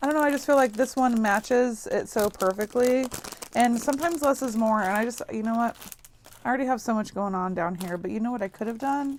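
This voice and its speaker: Soft-spoken and fairly high-pitched, a woman talks at a very fast pace with ordinary pitch variation. Noticeable background noise is present. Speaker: crafting YouTuber. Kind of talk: crafting tutorial. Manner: casual thinking aloud.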